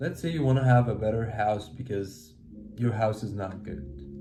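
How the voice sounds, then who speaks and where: Heard with audible room echo, a man with a non-native accent speaks in a somewhat breathy voice with a dark, mellow tone. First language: not English. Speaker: self-help video creator. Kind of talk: motivational talk.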